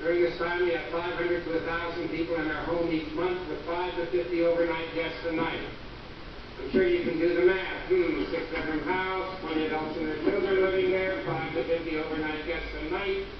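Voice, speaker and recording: Amid noticeable background noise and strong room echo, a high-pitched man speaks at a moderate pace in a monotone, flat intonation. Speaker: visiting lecturer physician. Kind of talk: lecture. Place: hall.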